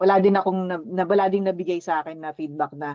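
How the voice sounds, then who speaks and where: A woman talks at a fairly quick pace in a dry, close recording with no echo. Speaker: team leader at a virtual assistant company. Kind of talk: casual team discussion.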